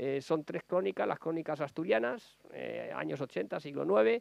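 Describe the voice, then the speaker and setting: A fairly high-pitched male voice, dry with no echo. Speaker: novelist. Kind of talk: book presentation talk. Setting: public library event. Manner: fast; halting. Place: hall. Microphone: lapel.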